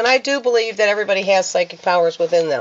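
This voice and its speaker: Noticeable background noise accompanies a woman talking at a medium pitch. Her pitch variation is ordinary. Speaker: minister and spiritual hobbyist vlogger. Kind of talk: casual show-and-tell vlog. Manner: hesitant, with fillers.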